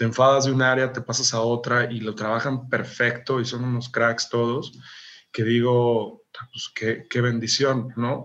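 A man's monotone, flat delivery at a fairly slow pace. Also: medium pitch for a man. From Mexico, Jalisco (small town). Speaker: architect and architectural photographer. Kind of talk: interview.

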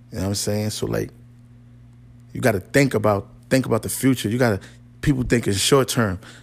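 Speaking at a fairly quick pace, a man with a fairly low pitch and vocal fry breaks his speech with long, frequent pauses. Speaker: podcast host. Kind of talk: motivational pep talk, urgent rallying speech with punchy repeated commands. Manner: animated; emphatic, direct, repeating phrases and checking in with the listener.

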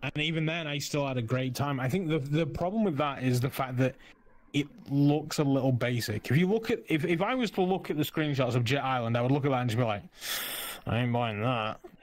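This is an ordinary speaking voice, a man's at a fairly high pitch. He talks at a fairly quick pace with ordinary pitch variation. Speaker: Twitch streamer.

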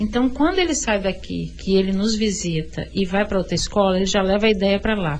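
A woman speaks at a medium pitch with ordinary pitch variation and hardly any pauses. Noticeable background noise is present. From Vitória, Espírito Santo, Brazil. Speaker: visual artist, cultural space founder. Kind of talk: radio interview.

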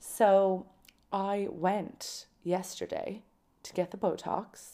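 The speaker has a Kerry accent and an animated tone. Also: woman. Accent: Irish (Kerry). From Ireland, County Kerry. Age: 20s. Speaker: podcast host. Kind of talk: casual solo monologue.

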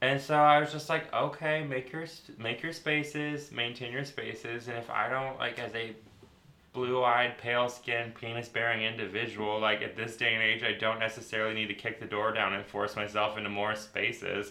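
At a moderate pace, a man talks in a plain, everyday voice of medium pitch with fairly even intonation. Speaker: hairdresser and aerialist. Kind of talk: casual chat, storytelling.

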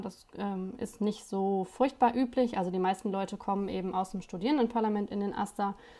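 Using a dark, mellow tone, a woman with a medium pitch speaks at a moderate pace with fairly even intonation. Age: 20s. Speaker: student union spokesperson. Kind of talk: casual chat.

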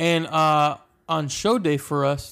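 On a very clean recording with a silent background, a man speaks in a normal speaking voice, fairly high-pitched, with fairly even intonation. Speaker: podcast co-host, film set background actor. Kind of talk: casual comedic chat. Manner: playful, laughs often.

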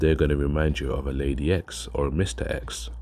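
Behind a man's voice there is noticeable background noise. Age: 30s. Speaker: vlogger. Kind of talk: casual vlog monologue.

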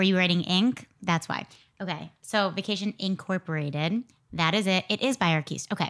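A woman with a plain, everyday voice speaks fairly quickly at a medium pitch, with ordinary pitch variation. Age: 30s. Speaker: perfume podcast host. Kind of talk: scripted narration; casual chat.

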